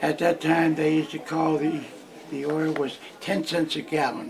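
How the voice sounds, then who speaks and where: Over noticeable background noise, a man with an American accent speaks at a fairly slow pace. His pitch is fairly high and his intonation is monotone and flat. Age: 90s. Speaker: elderly interviewee. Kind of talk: oral history interview. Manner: halting, repeats words.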